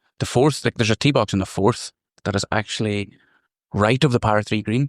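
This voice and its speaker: This man speaks at a fairly quick pace and a medium pitch, in a Donegal accent. The sound is dry and close, with no echo. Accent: Donegal accent, brogue. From Ireland, County Donegal. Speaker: golf course superintendent. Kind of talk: casual interview chat.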